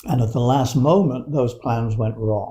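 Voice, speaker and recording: Medium pitch from a man, a dark, mellow tone, somewhat breathy, ordinary pitch variation, in a very clean recording with a silent background. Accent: British. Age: 80s+. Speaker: Alexander Technique teacher. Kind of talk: interview conversation. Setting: in person.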